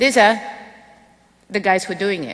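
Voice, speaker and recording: A woman with a medium pitch talks at a moderate speed, her pitch moving by a normal amount, while noticeable noise sits in the background. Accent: Russian. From Russia, Moscow. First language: Russian. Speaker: physics education professor. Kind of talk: lecture.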